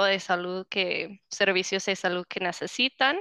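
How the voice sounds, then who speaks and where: A woman at medium pitch with a bright, sharp tone, in dry, close sound with no echo and a quiet background. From United States. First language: English (speaking Spanish). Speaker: housing program director at a nonprofit. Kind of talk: interview.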